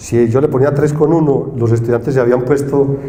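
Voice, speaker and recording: Audible room echo and noticeable background noise surround a man's voice. He speaks at a medium pitch with fairly even intonation. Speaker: engineering professor. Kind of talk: conference talk. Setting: stage with audience. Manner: casual, conversational.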